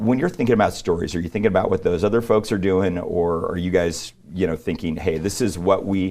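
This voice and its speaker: A man with a very deep, low pitch speaks at a fairly quick pace with fairly even intonation and hardly any pauses. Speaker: fill-in TV interview host. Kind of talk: interview. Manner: fast.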